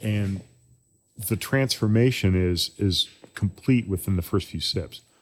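Using an ordinary speaking voice, a man talks at a fairly slow pace with fairly low pitch and ordinary pitch variation. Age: 60s. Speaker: brewery owner and brewer. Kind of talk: casual chat. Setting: brewery.

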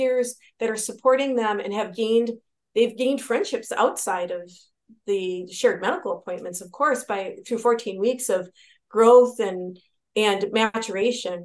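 A woman with an American accent speaks at a fairly high pitch and a moderate pace. She has a normal speaking voice with ordinary pitch variation. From Wisconsin. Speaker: physician and Navy veteran. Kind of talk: interview.

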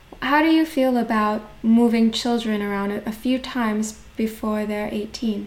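A woman speaks at a fairly slow pace with hardly any pauses, in a fairly high pitch with fairly even intonation, over noticeable background noise. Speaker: podcast host. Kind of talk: scripted intro then interview.

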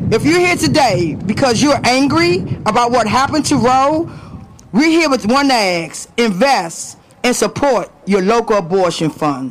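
An animated voice with an American accent speaks at a fairly slow pace against noticeable background noise. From Washington DC, Southeast. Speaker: nonprofit executive director, rally speaker. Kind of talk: rally speech. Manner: animated, loud, call-and-response.

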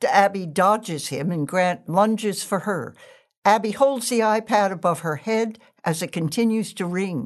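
An unremarkable speaking voice from a woman at medium pitch, with ordinary pitch variation, a moderate pace and a quiet background. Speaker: stage directions reader. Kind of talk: reading stage directions aloud in a play reading.

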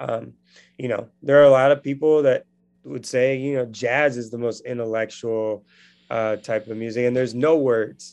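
Using an ordinary speaking voice, a man talks at a medium pitch and moderate pace with fairly even intonation. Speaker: edtech founder. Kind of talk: interview, conversational.

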